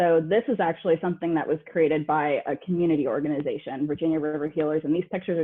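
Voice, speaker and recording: The speaker talks at a very fast pace with hardly any pauses. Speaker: environmental justice advocate. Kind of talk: webinar presentation.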